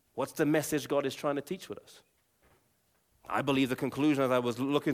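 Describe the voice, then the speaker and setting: On a very clean recording with a silent background, a man speaks in an English accent. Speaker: Bible teacher and former evangelist. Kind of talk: Bible teaching talk with prayer. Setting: live audience with slides. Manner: fast talker.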